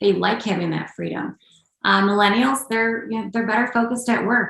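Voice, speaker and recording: A woman with an American accent speaks in a normal speaking voice at a medium pitch. She moves at a fairly quick pace with ordinary pitch variation. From Upstate New York. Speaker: executive coach and combat veteran. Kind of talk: podcast interview.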